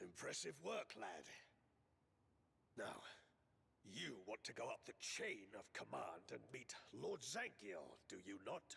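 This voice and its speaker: Using a raspy, put-on character voice, a man talks at a fairly slow pace with long, frequent pauses. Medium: video game. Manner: grave, warning.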